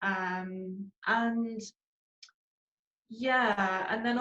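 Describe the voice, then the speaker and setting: A woman speaks with a Northern Irish accent at a medium pitch. Audible room echo surrounds her voice. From Northern Ireland, Belfast. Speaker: charity founder. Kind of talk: interview. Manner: hesitant, many fillers.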